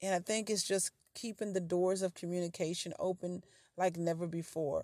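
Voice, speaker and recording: In an ordinary speaking voice, a woman talks at a fairly slow pace, the sound dry and close with no echo. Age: 50s. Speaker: podcast host. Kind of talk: casual chat.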